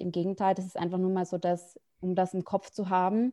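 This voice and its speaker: The voice has a dark, mellow tone and a moderate pace. The background is quiet. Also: woman. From Austria (Salzburg). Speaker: podcast interviewer, ethnographic researcher. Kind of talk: interview conversation.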